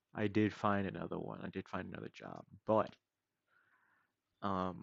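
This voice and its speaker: Against a quiet background, a man with a very deep, low pitch speaks with vocal fry and ordinary pitch variation. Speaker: gaming streamer. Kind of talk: casual live stream chat. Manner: awkward pauses, uneven rhythm; halting, repeats words.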